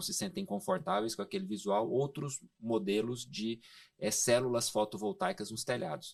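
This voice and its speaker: Speaking at a moderate pace in a Goiás accent, a man makes very wide pitch swings. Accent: Goiás accent, sing-song. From Goiás, Brazil. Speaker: solar energy industry expert. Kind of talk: podcast interview. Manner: hesitant fillers.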